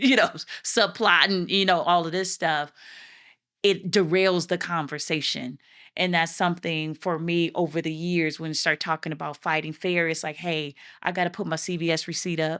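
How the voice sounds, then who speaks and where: In a very clean recording with a silent background, a woman with a fairly low pitch speaks at a moderate pace in a bright, sharp tone with fairly even intonation. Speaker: podcast co-host. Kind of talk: casual chat. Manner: softer than usual on this podcast.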